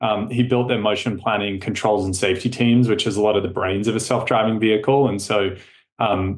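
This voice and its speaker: With an Australian accent, a man talks in a fairly low pitch and fairly even intonation. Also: fairly quick pace. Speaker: tech company co-founder. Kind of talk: podcast interview.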